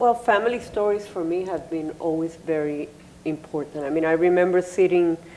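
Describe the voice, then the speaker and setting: A woman with a Spanish accent, fairly low-pitched, with ordinary pitch variation and noticeable background noise. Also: fairly quick pace. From Puerto Rico. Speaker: artist. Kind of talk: panel discussion. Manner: halting.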